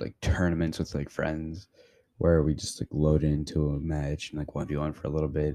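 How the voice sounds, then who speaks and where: A man's very deep, low voice, dark and mellow in tone, stays monotone and flat in a very clean recording with a silent background. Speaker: gaming podcaster. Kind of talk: casual monologue review. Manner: filler-heavy, informal.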